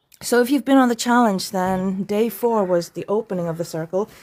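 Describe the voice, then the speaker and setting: A woman talks at a moderate pace and medium pitch in a very clean recording with a silent background. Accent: Irish. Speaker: wellness challenge host. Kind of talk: live stream vlog. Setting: outdoors.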